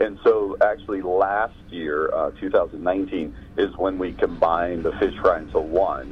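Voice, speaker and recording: A man with an American accent talks at a fairly slow pace with hardly any pauses. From Pittsburgh, Pennsylvania. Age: 50s. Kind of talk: interview.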